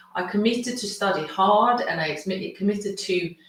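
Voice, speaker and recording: A woman speaks at a moderate pace and a medium pitch, with audible room echo. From Sweden. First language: Swedish. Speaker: consciousness coach and healer. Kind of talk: webinar masterclass presentation.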